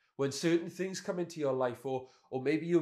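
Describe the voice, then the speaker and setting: In a Welsh accent, a man speaks at a fairly quick pace with ordinary pitch variation. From Wales. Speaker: pastor. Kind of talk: sermon.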